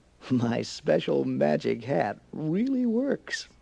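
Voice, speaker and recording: Very slowly, a man talks in a put-on character voice. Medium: read story.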